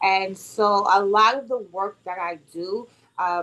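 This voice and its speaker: A woman with a New York accent and fairly even intonation. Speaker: author and motivational speaker. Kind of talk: interview.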